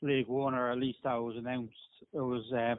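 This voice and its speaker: A man with a medium pitch speaks in an Irish accent. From Ireland, Dublin. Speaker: rugby league team manager. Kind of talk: podcast interview.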